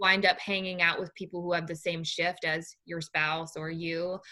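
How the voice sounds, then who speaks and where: A loud woman's voice, fairly low in pitch, with a bright, sharp tone. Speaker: true crime podcaster. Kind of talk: interview conversation.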